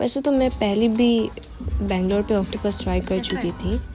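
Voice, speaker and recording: A woman speaks with music in the background. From Arunachal Pradesh, India. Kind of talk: casual vlog voice-over. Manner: careful, effortful Hindi.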